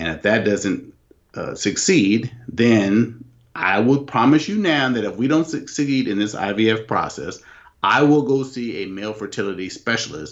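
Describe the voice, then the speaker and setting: Speaking at a fairly slow pace, a man with an unremarkable speaking voice uses lively intonation at a medium pitch. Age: 40s. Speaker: host's husband. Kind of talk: casual chat. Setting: video call.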